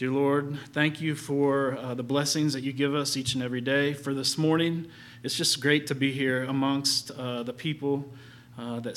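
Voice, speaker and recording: The speaker talks at a moderate pace in a monotone, flat intonation. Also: man. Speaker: church announcer. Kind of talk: announcements and prayer. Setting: church.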